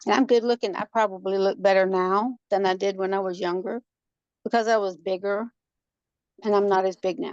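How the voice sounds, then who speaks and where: A woman with an ordinary speaking voice, medium pitch, fairly even intonation and a moderate pace, in a dry, close sound with no echo. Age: 60s. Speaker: workshop participant. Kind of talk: casual chat.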